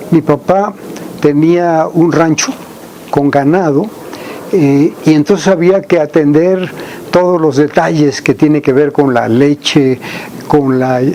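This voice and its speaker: A man speaks very slowly, with long, frequent pauses and a fairly high pitch. His loudness stays very even, his pitch varies in an ordinary way, and background noise is noticeable. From Mexico, Veracruz (San Andrés Tuxtla). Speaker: agricultural researcher. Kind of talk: interview. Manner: halting.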